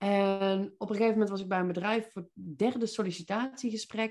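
A woman talks at a moderate pace, her pitch varying in an ordinary way, against a quiet background. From Netherlands, North Brabant (Veldhoven). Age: 40s. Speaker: business mindset coach. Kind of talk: podcast interview. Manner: energetic; direct.

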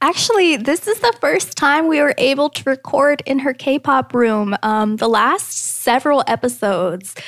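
A woman talks in a high, squeaky voice with very wide pitch swings and hardly any pauses. The sound is dry and close, with no echo. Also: moderate pace. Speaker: podcast host. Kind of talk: casual chat.

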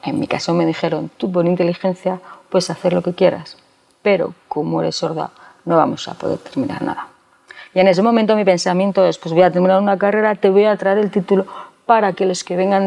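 A woman's normal speaking voice at a fairly quick pace, medium in pitch with fairly even intonation. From Spain, Segovia province. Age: 40s. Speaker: bank employee, deaf with cochlear implant. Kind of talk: interview.

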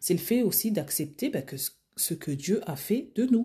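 Very wide pitch swings and vocal fry from a woman with a dark, mellow tone. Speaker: personal stylist and podcast host. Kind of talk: solo podcast monologue. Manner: casual, hesitant with fillers.

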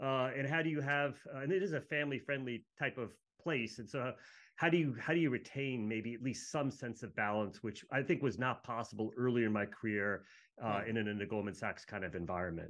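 A man talks at a fairly quick pace in a plain, everyday voice. His pitch is medium. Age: 50s. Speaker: energy equity research analyst. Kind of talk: casual interview chat. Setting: video call.

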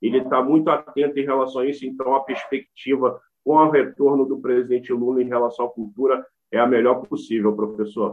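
This man has a plain, everyday voice. He speaks at a moderate pace in a medium pitch. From Brazil, Rio de Janeiro state and Brasília. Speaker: rapper and cultural activist. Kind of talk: interview.

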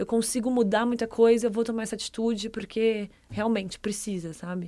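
The delivery comes at a moderate pace. Its intonation stays monotone and flat. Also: woman. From Brazil, Ribeirão Preto (São Paulo state interior). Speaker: content producer. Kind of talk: casual chat.

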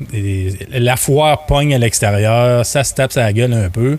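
This man's somewhat breathy voice sits at medium pitch with ordinary pitch variation. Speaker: podcast founder and business owner. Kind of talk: casual chat.

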